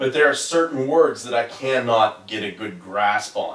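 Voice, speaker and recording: With a Southern accent, the speaker moves at a fairly slow pace, using ordinary pitch variation over noticeable background noise. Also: man. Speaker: podcast co-host. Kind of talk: casual chat.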